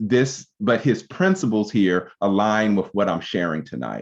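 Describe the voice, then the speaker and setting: Against a quiet background, a man with a fairly low pitch talks at a moderate pace with lively intonation. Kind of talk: lecture. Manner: halting.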